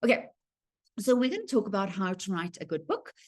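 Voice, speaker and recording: Speaking at a fairly quick pace in a South African accent, a woman uses a medium pitch over a quiet background. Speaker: writing workshop presenter. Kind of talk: online presentation. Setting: video call from home. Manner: fast when excited.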